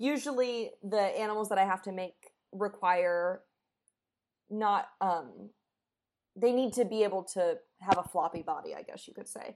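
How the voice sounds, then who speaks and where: A woman with a medium-pitched voice and ordinary pitch variation speaks with long, frequent pauses. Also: moderate pace, big swings in loudness. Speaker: prop artist and actor. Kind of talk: casual chat. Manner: loud.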